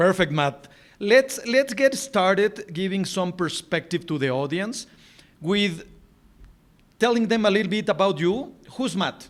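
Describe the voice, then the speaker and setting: With a Spanish accent, a man speaks in a high voice at a fairly slow pace, his intonation lively. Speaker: podcast host. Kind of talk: interview. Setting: video call.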